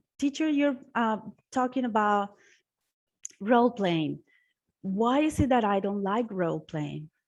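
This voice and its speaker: The speaker has a non-native accent and talks at a fairly slow pace over a quiet background. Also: woman. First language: not English. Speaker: language teacher, webinar presenter. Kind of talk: webinar presentation. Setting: online webinar.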